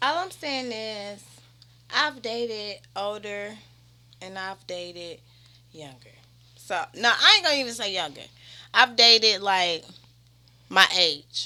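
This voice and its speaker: On a very clean recording with a silent background, a woman with a fairly high, bright and sharp voice speaks in an animated tone at a fairly slow pace, her intonation lively, her loudness swinging widely, and her pauses long and frequent. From Cincinnati, Ohio, US Midwest. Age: 20s. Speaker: rapper. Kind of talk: casual chat.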